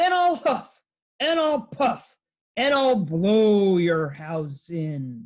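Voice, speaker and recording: A woman does a put-on character voice at medium pitch, growling at a very slow pace. Her pitch swings very widely. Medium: read story. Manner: growling, menacing.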